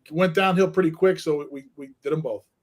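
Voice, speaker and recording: Speaking with a Northeast Pennsylvania accent, the man has a fairly high voice. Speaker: school principal. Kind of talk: podcast interview. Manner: halting, repeats words.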